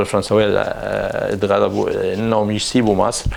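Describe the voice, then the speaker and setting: Amid noticeable background noise and audible room echo, a man talks fairly slowly. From Egypt, Cairo. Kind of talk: interview testimony. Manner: halting, many restarts.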